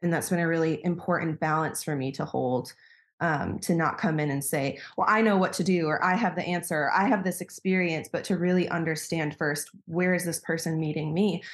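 A woman's plain, everyday voice, fairly low in pitch, with an American accent, fairly even intonation, a fairly quick pace, hardly any pauses, and a quiet background. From US Midwest (Wisconsin). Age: 30s. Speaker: coach and sex worker, former doula. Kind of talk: casual interview chat.

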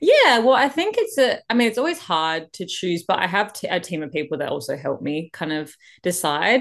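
A woman speaks with an Australian accent at a moderate pace. The background is quiet. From Western Australia (Perth). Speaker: country singer-songwriter and dancer. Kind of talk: casual interview.

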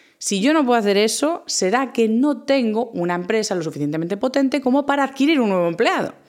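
Talking very fast with hardly any pauses, a woman uses a fairly high, animated voice with very wide pitch swings. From Galicia, A Coruña. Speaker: science communicator and podcast host. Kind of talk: solo podcast monologue.

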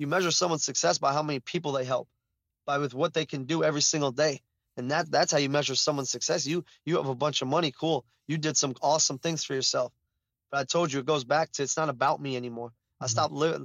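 A man with an American accent talks at a very fast pace, his fairly high pitch held in fairly even intonation. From Chicago, US. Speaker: basketball trainer and former college player. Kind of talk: casual interview. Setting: phone call. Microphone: phone line audio.

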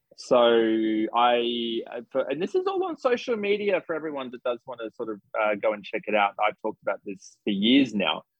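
With an Australian accent, a man speaks at a moderate pace with hardly any pauses and big swings in loudness. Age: 30s. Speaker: psychic medium. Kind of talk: casual interview chat. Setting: video call.

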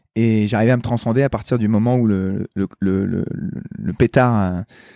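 Dry and close with no echo, a man's voice has a dark, mellow tone, a medium pitch, ordinary pitch variation and a fairly slow pace. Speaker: Olympic athlete. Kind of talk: interview.

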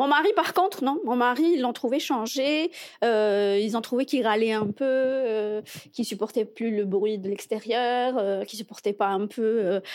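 A woman with a normal speaking voice talks at a moderate pace and fairly high pitch, with ordinary pitch variation, on a very clean recording with a silent background. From Algeria, Algiers. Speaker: immigrant guest. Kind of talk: casual interview.

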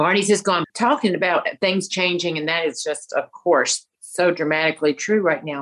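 A woman with a Southern US accent, fairly low pitch, ordinary pitch variation and moderate pace. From US South, Alabama. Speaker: fashion consultant and speaker. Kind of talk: casual interview. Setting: remote call.

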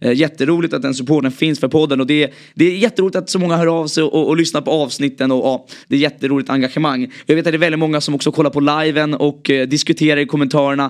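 Very fast speech from a man with fairly high pitch and fairly even intonation. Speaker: football podcast host. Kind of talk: casual chat.

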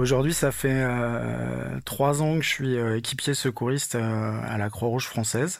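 A man's medium-pitched voice at a fairly slow pace. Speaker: volunteer first aider and music tour manager. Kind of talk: testimony. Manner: halting, many fillers and repetitions.

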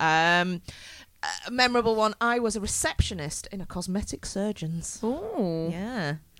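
With a normal speaking voice, a woman talks at a fairly slow pace with lively intonation on a very clean recording with a silent background. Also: medium pitch for a woman. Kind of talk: live comedy panel show banter. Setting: stage with audience.

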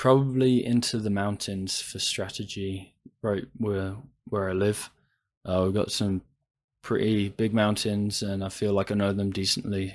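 A man with an unremarkable speaking voice talks at a fairly slow pace with a fairly low pitch. His intonation is fairly even, and the recording is very clean with a silent background. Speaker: podcast guest. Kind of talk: casual chat.

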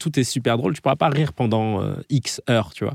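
An unremarkable speaking voice in a very clean recording with a silent background and a dry, close sound with no echo. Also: man. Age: 30s. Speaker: comedian and podcast host. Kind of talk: interview. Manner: casual.

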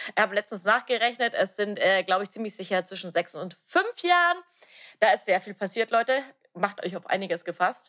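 A bright, sharp tone comes at a fairly quick pace with lively intonation and big swings in loudness, in a dry, close sound with no echo. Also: woman, medium pitch for a woman. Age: 30s. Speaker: podcast host, coach. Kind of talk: casual chat.

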